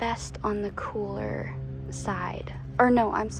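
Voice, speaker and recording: Soft-spoken and relaxed in tone, a woman talks at a very slow pace against noticeable background noise. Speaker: home gardener. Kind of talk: casual talk to camera. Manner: soft-spoken, relaxed.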